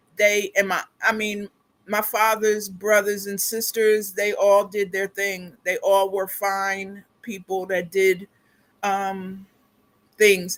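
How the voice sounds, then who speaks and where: A woman with an American accent speaks at a very slow pace. Her medium-pitched voice is monotone and flat. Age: 60s. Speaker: skincare product seller. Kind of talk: livestream chat. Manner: halting, many fillers.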